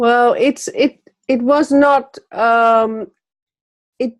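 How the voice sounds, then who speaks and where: Her voice is high in pitch, and this woman speaks with a Dutch accent. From Netherlands. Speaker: magazine publisher. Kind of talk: interview. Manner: hesitant, many fillers.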